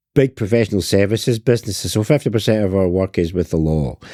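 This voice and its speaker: In a Scottish accent, a man speaks at a fairly quick pace with lively intonation. His fairly low-pitched voice has a dark, mellow tone, and the sound is dry and close with no echo. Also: very clean recording, silent background. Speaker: sales trainer. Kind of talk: interview. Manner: animated.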